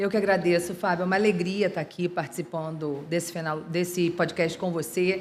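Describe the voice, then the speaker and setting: A woman with a Rio de Janeiro accent speaks at a fairly quick pace in a fairly low pitch. Her intonation is monotone and flat, with hardly any pauses. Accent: carioca (Rio de Janeiro). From Rio de Janeiro, Brazil. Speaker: lawyer, law firm partner and CEO. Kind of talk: interview podcast. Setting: podcast recorded at a trade fair.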